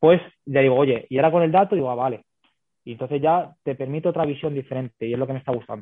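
Man's fairly high voice at a very fast pace, with ordinary pitch variation. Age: 30s. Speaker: women's football fitness coach. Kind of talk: interview.

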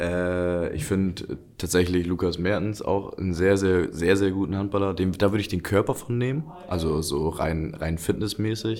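A man speaks at a moderate pace in a very deep, low voice, with ordinary pitch variation and hardly any pauses. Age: 20s. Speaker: handball player. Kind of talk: casual interview.

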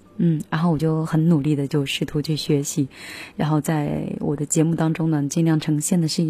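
The voice is relaxed and somewhat breathy, with a dark, mellow tone, fairly even intonation and a moderate pace, on a very clean recording with a silent background. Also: woman. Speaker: radio music show host. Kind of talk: casual radio talk between songs. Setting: radio studio. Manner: relaxed and informal.

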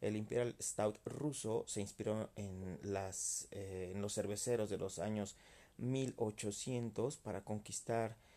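A man's dark, mellow, fairly low voice, with ordinary pitch variation and a very slow pace. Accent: Mexican. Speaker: beer podcaster. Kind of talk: casual monologue. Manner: halting, many repetitions.

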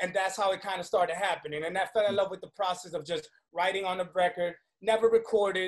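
At a very fast pace, the speech has fairly even intonation and an American accent. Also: man, high pitch for a man. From New York City (Washington Heights, Manhattan), Dominican heritage. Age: 30s. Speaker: recording artist, songwriter and producer. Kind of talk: casual interview chat.

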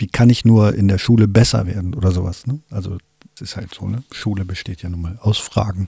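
A fairly low, somewhat breathy male voice with a dark, mellow tone, big swings in loudness and a fairly quick pace, dry and close with no echo. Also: ordinary pitch variation. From Wolfsburg, Lower Saxony, Germany. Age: 50s. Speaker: filmmaker and podcast co-host. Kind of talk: casual chat.

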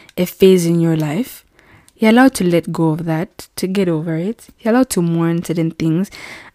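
A woman speaks at a very fast pace, her voice fairly low with a dark, mellow tone. The sound is dry and close, with no echo. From Zambia. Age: 20s. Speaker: YouTuber and medical student. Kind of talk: solo podcast monologue. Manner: casual, frequent fillers and laughs.

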